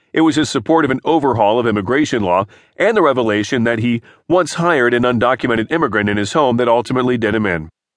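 Talking at a very fast pace, a man keeps a medium pitch and ordinary pitch variation. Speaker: audiobook narrator. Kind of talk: formal news reading of newspaper articles, scripted. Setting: studio. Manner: formal, measured and even-toned; steady, neutral newsreader delivery.

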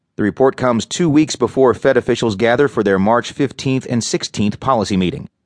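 A man speaks in a plain, everyday voice at medium pitch, with ordinary pitch variation and very even loudness. His pace is fairly quick with hardly any pauses, and the sound is dry and close with no echo. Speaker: audiobook narrator. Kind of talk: news reading. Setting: studio. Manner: formal; measured, even-paced, neutral.

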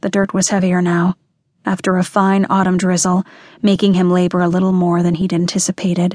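A woman speaks in a dark, mellow, somewhat breathy tone with a dramatic, intense edge. Her intonation stays monotone and flat, broken by long, frequent pauses. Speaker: audiobook narrator. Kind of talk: dramatic audiobook narration of a dark thriller, reading aloud. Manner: dramatic, measured and intense.

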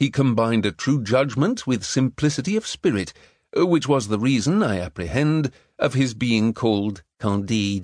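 In a plain, everyday voice of medium pitch, a man speaks at a moderate pace with lively intonation and very even loudness, the sound dry and close with no echo. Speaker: audiobook narrator. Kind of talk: scripted audiobook narration, dramatic reading of a satirical classic.

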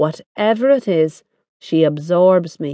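Her Irish accent comes through at a fairly slow pace. The woman's pitch is medium and her tone dark and mellow. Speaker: audiobook narrator. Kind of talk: dramatic first-person audiobook narration of a novel. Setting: studio. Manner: intimate, confiding, voicing an Irish working-class woman; expressive, wry, with sly asides and tender indignation.

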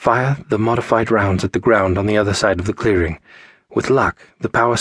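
The voice does plain reading aloud. It is a straightforward read.

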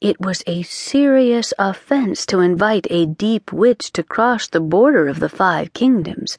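Plain reading aloud comes with lively intonation throughout.

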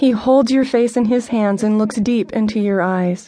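A woman's fairly high-pitched voice with a dramatic tone, ordinary pitch variation and a fairly slow pace. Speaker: audiobook narrator. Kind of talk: scripted audiobook narration, devotional. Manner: dramatic, earnest, intimate; tender, directly addressing listener, pacing builds to urgent run.

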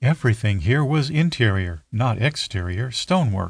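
Against a quiet background, a man speaks at a moderate pace with lively intonation and a somewhat breathy sound. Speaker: audiobook narrator. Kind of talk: audiobook narration of dark fantasy, scripted and read aloud. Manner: dramatic, building suspense with measured pacing.

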